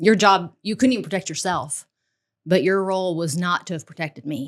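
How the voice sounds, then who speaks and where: A woman with an American accent speaks in an unremarkable speaking voice at a fairly quick pace. Her pitch is medium with ordinary variation, on a very clean recording with a silent background. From US South, Tennessee (Nashville). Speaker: executive protection agent and co-host. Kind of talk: casual chat.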